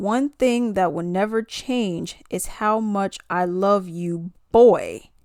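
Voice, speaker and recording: A put-on robotic character voice, female-sounding at medium pitch, at a very slow pace with hardly any pauses. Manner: robotic, monotone reading.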